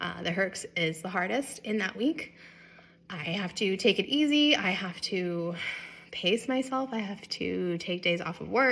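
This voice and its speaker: A woman speaks at a medium pitch with a bright, sharp tone. Her intonation is lively. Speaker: vlogger sharing illness experience. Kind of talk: personal vlog talk to camera.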